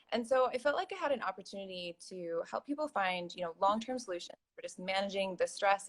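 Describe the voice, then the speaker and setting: A woman with an American accent, medium-pitched, with lively intonation, at a fairly quick pace, in a normal speaking voice. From US. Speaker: professional organizer. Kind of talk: interview.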